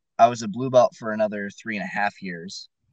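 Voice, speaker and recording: With an American accent, a man talks at a fairly quick pace and medium pitch, with ordinary pitch variation and a dry, close sound with no echo. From US West Coast (Fresno, California). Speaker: jiu-jitsu brown belt. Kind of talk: casual chat.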